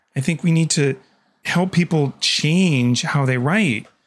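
A man speaks with a Canadian accent. He talks at a fairly slow pace. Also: very clean recording, silent background. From Canada. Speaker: communications manager and writer. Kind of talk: interview.

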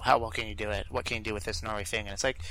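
A man's bright, sharp voice with fairly even intonation, in a very clean recording over a silent background. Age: 30s. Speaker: podcast co-host. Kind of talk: casual chat.

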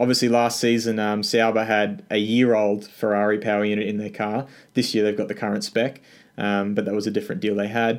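A man's fairly low voice with an Australian accent, monotone and flat, at a fairly quick pace. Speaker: F1 news YouTuber. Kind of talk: casual interview chat.

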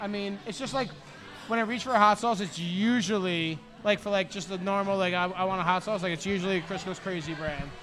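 Over noticeable background noise, a man talks at a very fast pace with a high pitch. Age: 40s. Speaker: podcast co-host. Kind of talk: casual chat. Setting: studio. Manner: animated.

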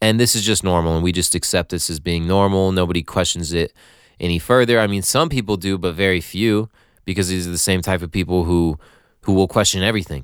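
A man's very deep, low voice with an American accent and an animated tone at a very fast pace, on a very clean recording with a silent background. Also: ordinary pitch variation. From Nevada, US (Carson City). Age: 20s. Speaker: podcast host. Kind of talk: casual solo monologue. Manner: animated, rambling with filler words.

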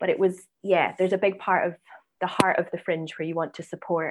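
A woman with a Scottish accent, fairly low pitch and monotone, flat intonation at a very fast pace, against a quiet background. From Scotland, Edinburgh. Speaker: writer, director and actress. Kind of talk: interview.

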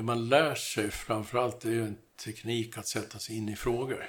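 Flat and monotone, a man's medium-pitched voice keeps a moderate pace on a very clean recording with a silent background. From Sweden, Gotland. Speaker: construction industry consultant. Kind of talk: interview.

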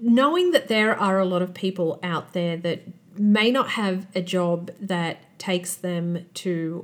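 Here a woman with an unremarkable speaking voice talks at a fairly low pitch with fairly even intonation. The recording is very clean, with a silent background. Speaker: podcast host. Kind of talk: interview.

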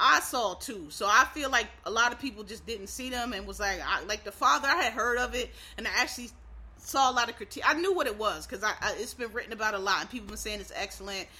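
Talking at a very fast pace with an American accent, a woman uses a fairly high pitch, ordinary pitch variation and big swings in loudness. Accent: Philadelphia, toned down. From Philadelphia, US. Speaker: podcast host. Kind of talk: casual podcast monologue. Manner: casual, informal, hurried.

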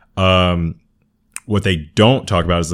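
A man with an American accent, very deep and low in pitch, at a moderate pace with ordinary pitch variation. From Southern California. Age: 30s. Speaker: podcast guest sharing experiences of racism. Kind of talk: casual interview conversation.

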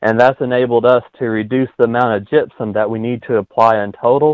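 A man speaks in an American accent with an ordinary speaking voice and a medium pitch. His intonation is fairly even. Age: young. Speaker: farmer. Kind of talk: interview.

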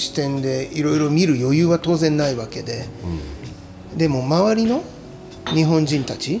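A man's fairly high voice at a moderate pace, with ordinary pitch variation, long, frequent pauses, audible room echo and noticeable background noise. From Aichi, Japan (Chita Peninsula, Tokoname). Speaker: chef. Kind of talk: casual chat.

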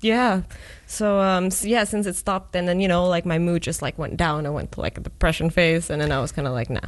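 Over a quiet background, a woman with an ordinary speaking voice talks at a fairly quick pace, fairly low in pitch, with ordinary pitch variation. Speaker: student association president. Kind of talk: casual interview. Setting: studio.

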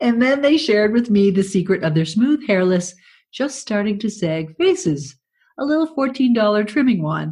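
A woman speaks at a moderate pace in a fairly high, somewhat breathy voice with a dark, mellow tone. Her pitch swings very widely, and the background is quiet. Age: 60s. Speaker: podcast host and writer. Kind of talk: reading aloud own writing with comments. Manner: animated, laughing.

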